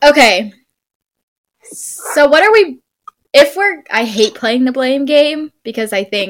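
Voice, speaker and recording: A woman is speaking. Her pace is fairly slow. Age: 20s. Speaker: sports podcast host. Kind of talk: casual chat.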